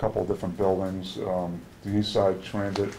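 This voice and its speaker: A man speaks at a moderate pace with a very deep, low pitch and monotone, flat intonation. The recording has audible room echo and noticeable background noise. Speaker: union negotiator. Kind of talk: contract negotiation meeting. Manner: halting.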